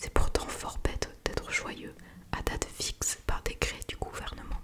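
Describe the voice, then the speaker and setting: The speaker is a woman whispering. She goes at a fairly slow pace amid noticeable background noise. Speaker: ASMR creator. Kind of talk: ASMR whispered book reading. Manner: whispered.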